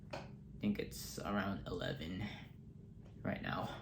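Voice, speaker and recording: A man talks amid noticeable background noise, and the room adds audible echo. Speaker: toy reviewer. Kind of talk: casual vlog tour. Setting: home, bedroom. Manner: slow; halting.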